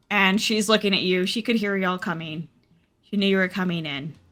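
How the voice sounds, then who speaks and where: A woman's medium-pitched voice at a moderate pace, with ordinary pitch variation and music in the background. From US South. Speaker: tabletop game master. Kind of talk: tabletop roleplay narration.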